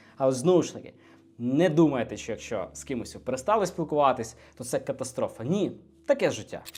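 On a very clean recording with a silent background, a man speaks at a moderate pace with fairly high pitch. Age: 20s. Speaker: entrepreneur and business blogger. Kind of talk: motivational video monologue. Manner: animated.

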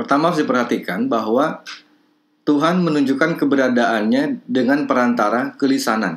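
A man talks at a moderate pace in an unremarkable speaking voice. His fairly high pitch carries lively intonation. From Bandung, West Java, Indonesia. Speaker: lecturer in language and literature, also editor and writer. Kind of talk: online lecture to participants. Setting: video call with screen shared. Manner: formal, thoughtful, with filler sounds.

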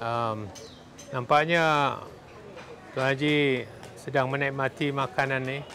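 A man with a fairly high pitch speaks at a very slow pace, with long, frequent pauses and fairly even intonation. Light background noise sits behind him. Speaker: speaker at a community political gathering. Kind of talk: speech to an audience. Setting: live event with audience. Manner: earnest, exhorting the audience, rhetorical questions; halting, with fillers and self-corrections. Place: hall. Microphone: lapel.

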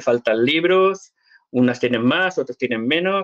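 Over a quiet background, a man with a fairly high pitch talks fairly slowly, with lively intonation. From Spain. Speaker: Latter-day Saint church member answering questions; interviewee. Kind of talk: live Q&A interview. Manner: hesitant, repeats words. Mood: earnest, convinced. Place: home room. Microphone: webcam.

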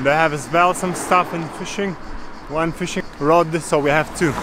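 Over noticeable background noise, a man talks at a moderate pace in a high pitch for a man. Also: dry sound with no echo. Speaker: travel vlogger. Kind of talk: casual vlog chat. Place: waterside. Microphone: phone near.

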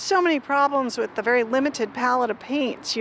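A woman speaks at a moderate pace. The sound is dry with no echo, with light background noise. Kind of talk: interview answer. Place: street. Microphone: handheld.

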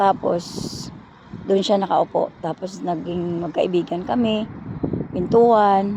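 Very slowly and with long, frequent pauses, a woman talks at a medium pitch with fairly even intonation over noticeable background noise. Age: 60s. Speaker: vlogger. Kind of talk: personal storytelling. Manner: casual, rambling with fillers.

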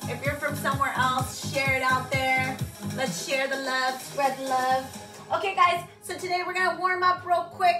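A woman's voice at a moderate pace with music in the background. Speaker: fitness instructor. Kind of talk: live workout class instructions. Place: home room. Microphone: camera far.

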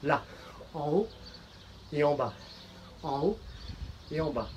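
A man at a fairly slow pace amid light background noise. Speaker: fitness coach. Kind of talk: workout instruction. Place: garden. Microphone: camera far.

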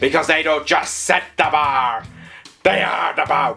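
In a put-on character voice, a man talks at a moderate pace and a fairly high pitch while faint music plays in the background. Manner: pirate voice.

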